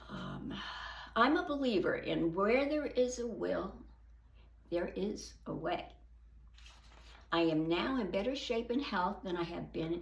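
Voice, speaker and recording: With long, frequent pauses and audible room echo, a woman speaks at a fairly slow pace. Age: 80s+. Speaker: senior fitness vlogger. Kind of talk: reading aloud.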